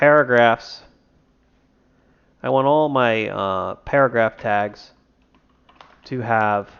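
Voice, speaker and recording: This man keeps a medium pitch and his intonation stays fairly even. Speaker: indie game developer and streamer. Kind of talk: tutorial. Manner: casual, thinking aloud.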